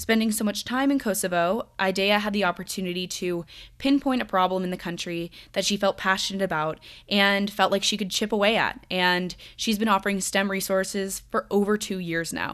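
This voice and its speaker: At a moderate pace, an unremarkable speaking voice keeps fairly even intonation in a very clean recording with a silent background. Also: woman, medium pitch for a woman. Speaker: podcast host. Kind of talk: podcast interview.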